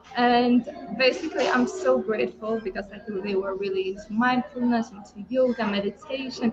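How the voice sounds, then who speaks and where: A woman speaks at a moderate pace with a Lithuanian accent. Her pitch is high, with noticeable background noise. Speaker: online entrepreneur. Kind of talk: personal story in group hangout. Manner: hesitant, many fillers.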